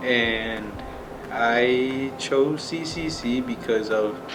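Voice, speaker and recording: In a Spanish accent, a man talks at a medium pitch amid noticeable background noise and audible room echo. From Nebraska, US. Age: 18. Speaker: welding student. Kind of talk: personal interview testimony. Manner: casual, hesitant with fillers.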